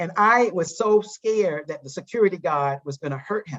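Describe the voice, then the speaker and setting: A woman with a Southern US accent, fairly low pitch and ordinary pitch variation. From US South, eastern North Carolina. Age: 60s. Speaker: psychologist and diversity trainer. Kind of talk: interview. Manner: halting.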